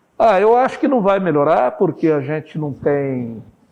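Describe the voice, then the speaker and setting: With lively intonation and an ordinary speaking voice, a man talks at a moderate pace and a fairly high pitch. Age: 60s. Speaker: journalist, newspaper owner. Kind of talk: interview.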